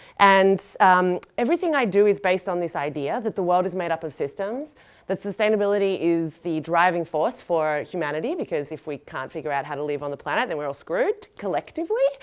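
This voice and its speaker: Speaking very fast with an Australian accent, a woman uses an animated tone, lively intonation and a medium pitch. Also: very clean recording, silent background. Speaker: designer and sustainability educator. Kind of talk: lecture. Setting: stage with audience.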